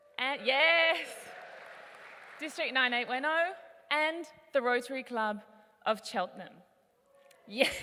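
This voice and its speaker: A woman's raised, projected high voice at a fairly slow pace, with ordinary pitch variation, long and frequent pauses, and crowd noise in the background. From Australia, Melbourne. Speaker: conference speaker, youth advocate. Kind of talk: conference keynote talk. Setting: stage with audience. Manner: animated.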